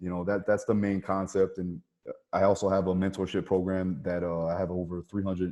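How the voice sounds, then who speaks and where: The voice has a dark, mellow tone and a monotone, flat intonation, going at a fairly quick pace over a quiet background. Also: man, very deep, low pitch for a man. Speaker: MMA strength and conditioning coach. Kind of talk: podcast interview. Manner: fast, repetitive with frequent restarts.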